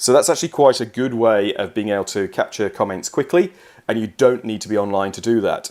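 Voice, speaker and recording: A man's fairly quick, lively-toned speech on a very clean recording with a silent background. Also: medium pitch for a man. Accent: English. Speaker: software trainer. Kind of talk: tutorial. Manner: casual, some fillers.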